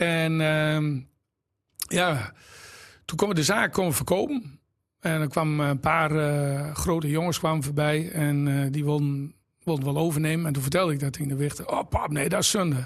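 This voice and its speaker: This man has a fairly high pitch and an ordinary speaking voice, and his intonation stays fairly even. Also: moderate pace. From Drenthe, Netherlands (Exloo). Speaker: entrepreneur, shoe shop owner. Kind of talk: casual interview.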